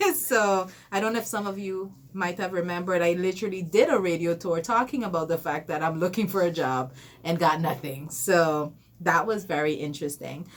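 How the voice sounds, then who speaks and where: This is a plain, everyday voice with ordinary pitch variation. It moves at a fairly quick pace. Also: woman, fairly low pitch for a woman. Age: 30s. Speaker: entrepreneur. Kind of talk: radio interview.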